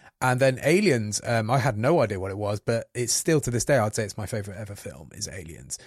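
A man speaks at a very fast pace with hardly any pauses, his fairly low voice somewhat breathy and full of lively intonation. The recording is very clean, with a silent background. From England, Coventry. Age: 40s. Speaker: video producer. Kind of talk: casual chat.

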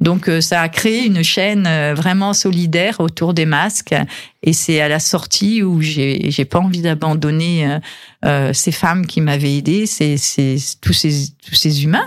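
A woman with a fairly low voice talks at a very slow pace, her pitch varying in an ordinary way and her loudness staying very even. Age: 60s. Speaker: business owner and fashion designer. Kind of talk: radio interview. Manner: halting, many repetitions.

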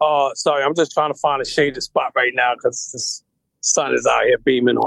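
A man with a New York accent, at a fairly quick pace. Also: dry, close sound with no echo. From Brooklyn, New York. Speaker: rapper. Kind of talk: interview.

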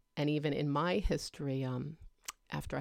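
On a very clean recording with a silent background, a woman with a New Jersey accent talks at a moderate pace with a very deep, low pitch. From northern New Jersey. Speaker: guest, host's mother. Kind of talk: casual chat.

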